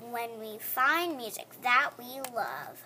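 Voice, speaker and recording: A woman's put-on character voice, high in pitch and very slow in pace. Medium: read story.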